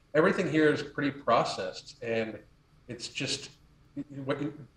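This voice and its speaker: A man's voice moves along at a moderate pace, with noticeable background noise present. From United States. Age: 50s. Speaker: health and lifestyle coach. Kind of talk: casual chat. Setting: podcast interview.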